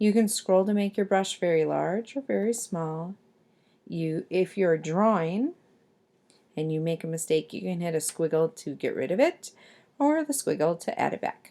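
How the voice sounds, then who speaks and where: Fairly low female voice, dark and mellow in tone. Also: lively intonation, moderate pace, very clean recording, silent background. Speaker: art teacher. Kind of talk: tutorial.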